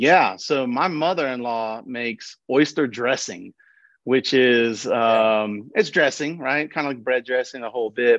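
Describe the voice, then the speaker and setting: Against a quiet background, a man with an American accent and an ordinary speaking voice talks fairly slowly at a medium pitch with fairly even intonation. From Nashville, Tennessee (US South). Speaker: economic development professional. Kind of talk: podcast interview.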